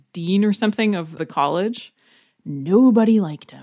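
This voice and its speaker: A plain, everyday voice from a woman with an American accent, medium pitch, moderate pace and ordinary pitch variation, on a very clean recording with a silent background. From Wisconsin, US Upper Midwest. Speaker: German language teacher. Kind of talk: casual interview chat. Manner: laughs often.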